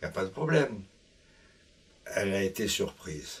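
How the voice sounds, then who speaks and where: The man speaks at a moderate pace. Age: 80s+. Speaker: retired family doctor and author. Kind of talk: book presentation, anecdotal storytelling. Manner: hesitant, with fillers and repetitions.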